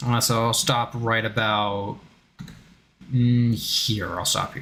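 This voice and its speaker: Speech comes at a very slow pace. Background noise is noticeable throughout. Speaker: VTuber gaming streamer. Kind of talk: live gameplay stream with reading aloud. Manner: loud.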